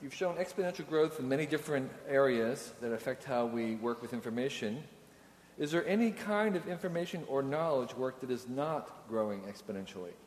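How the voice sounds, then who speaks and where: The speaker has a normal speaking voice with lively intonation throughout. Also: man, fairly high pitch for a man, fairly quick pace. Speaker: moderator reading audience questions. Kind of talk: Q&A moderating. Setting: stage with audience.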